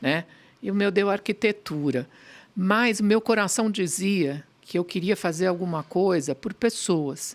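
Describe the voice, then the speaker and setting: At a fairly slow pace, a woman talks in an unremarkable speaking voice of medium pitch with ordinary variation. The recording is very clean with a silent background. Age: 60s. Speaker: pediatrician and pharmaceutical executive. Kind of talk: podcast interview.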